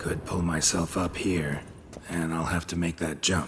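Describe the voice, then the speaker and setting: A man puts on a raspy character voice with a very deep, low pitch, speaking at a moderate pace with monotone, flat intonation over clear background noise. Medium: video game. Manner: terse, low monotone.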